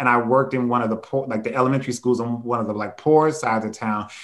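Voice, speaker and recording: A man speaks at a medium pitch with an American accent and ordinary pitch variation over a quiet background. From US Midwest, Cleveland, Ohio; Ohio. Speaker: nonprofit executive director and organizer; panelist. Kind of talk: panel discussion. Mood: earnest, reflective. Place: home room. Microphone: video call.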